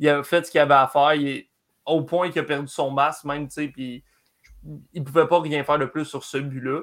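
The delivery is monotone and flat at a fairly quick pace, broken by long, frequent pauses. The recording is very clean with a silent background. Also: man, fairly high pitch for a man. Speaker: hockey analyst. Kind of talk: casual sports talk. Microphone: network problems.

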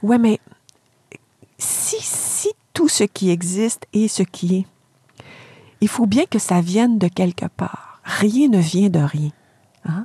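A woman speaks at a very slow pace with long, frequent pauses, her medium-pitched voice somewhat breathy and dark and mellow in tone. The sound is dry and close, with no echo. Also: lively intonation. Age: 50s. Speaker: philosophy professor. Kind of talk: lecture-style explanation in interview. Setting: camper van used as studio.

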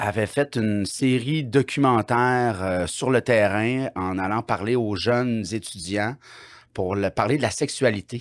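At a very slow pace and medium pitch, a man is heard in a very clean recording with a silent background and a dry, close sound with no echo. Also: ordinary pitch variation. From Quebec, Bas-Saint-Laurent. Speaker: comedian. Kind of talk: casual chat.

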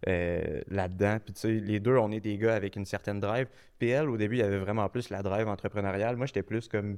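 A man with a plain, everyday voice speaks at a fairly low pitch and a fairly quick pace with fairly even intonation, in a very clean recording with a silent background. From Quebec, Quebec City area. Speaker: marketing agency co-founder. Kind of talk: casual interview.

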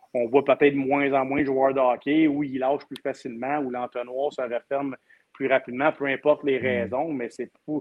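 A man's medium-pitched voice, monotone and flat, at a moderate pace. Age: 40s. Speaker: hockey commentator. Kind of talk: casual chat.

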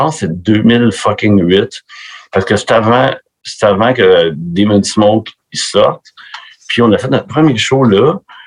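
A man with a Quebec accent, fairly low in pitch, lively in intonation, very slow, with long, frequent pauses. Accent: Québécois. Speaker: metal musician. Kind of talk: casual chat. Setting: video call.

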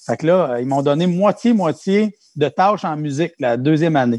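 A plain, everyday voice belongs to a man at a fairly high pitch with ordinary pitch variation. He speaks at a moderate pace in a dry, close sound with no echo. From Quebec, Mauricie/Centre-du-Québec. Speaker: music teacher. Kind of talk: casual interview.

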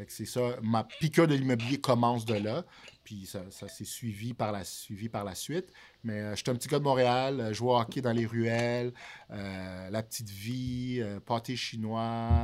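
Here is a man with an unremarkable speaking voice. His pitch is medium and his pace fairly slow. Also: ordinary pitch variation. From Montreal, Quebec (born in Haiti, arrived at 6). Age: 30s. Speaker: real estate broker. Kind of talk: casual chat. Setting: studio.

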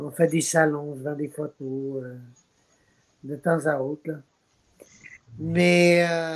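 Very deep and low in pitch, a woman speaks at a very slow pace with ordinary pitch variation, long, frequent pauses and big swings in loudness. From Quebec. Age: 70s. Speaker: actor. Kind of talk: interview.

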